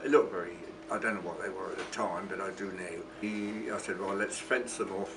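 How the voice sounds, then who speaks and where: A man with a southern English accent speaks at a fairly quick pace in a fairly low voice, with audible room echo and noticeable background noise. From southern England, Portsmouth. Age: 90s. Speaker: war veteran. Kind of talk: testimony. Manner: halting.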